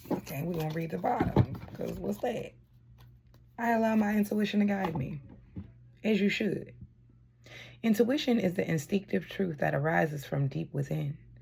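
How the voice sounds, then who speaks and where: At a moderate pace, a woman with a fairly low pitch speaks with long, frequent pauses. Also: lively intonation. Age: adult. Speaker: tarot card reader. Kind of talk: spiritual card reading.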